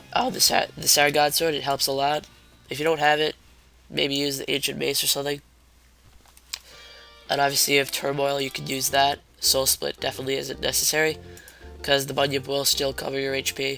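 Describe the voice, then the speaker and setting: A man's fairly high, monotone, flat voice at a fairly quick pace, broken by long, frequent pauses, with music in the background. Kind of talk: game guide commentary. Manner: casual, hesitant.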